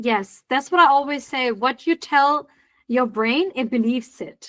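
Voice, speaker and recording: Speaking at a fairly slow pace with a non-native accent, a woman uses a high pitch and ordinary pitch variation against a quiet background. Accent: non-native English speaker. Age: 40s. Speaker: podcast host. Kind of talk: interview.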